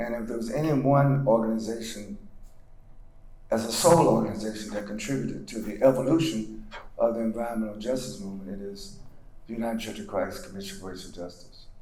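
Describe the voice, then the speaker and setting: A man with an American accent at medium pitch and a fairly quick pace, ordinary pitch variation, audible room echo and noticeable background noise. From US South, North Carolina (Granville County). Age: 70s. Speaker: civil rights leader and pastor. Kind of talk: lecture.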